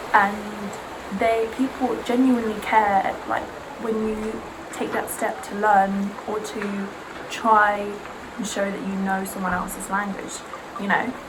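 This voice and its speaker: Long, frequent pauses break up a woman's monotone, flat delivery. There is audible room echo and noticeable background noise. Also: medium pitch for a woman, fairly slow pace. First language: Serbian. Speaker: beauty vlogger. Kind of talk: casual chat.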